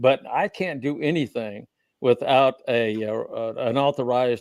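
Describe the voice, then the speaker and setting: In an Oklahoma accent, a man at a medium pitch speaks at a fairly slow pace with ordinary pitch variation, the sound dry and close with no echo on a very clean recording with a silent background. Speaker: researcher of the Copper Scroll, guest. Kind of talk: panel interview discussion. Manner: halting, with fillers and repetitions.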